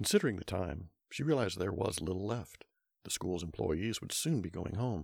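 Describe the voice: It is plain reading aloud with lively intonation. The background is quiet.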